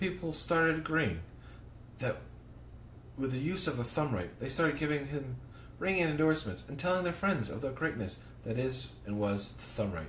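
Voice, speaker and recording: In a room with audible echo, a man speaks at a moderate pace with vocal fry and very wide pitch swings. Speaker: podcast host. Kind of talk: reading aloud. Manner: halting.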